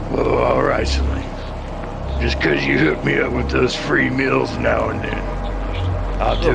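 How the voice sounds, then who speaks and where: A man does a put-on character voice at a moderate pace against loud background noise. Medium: actual play. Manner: casual, relaxed.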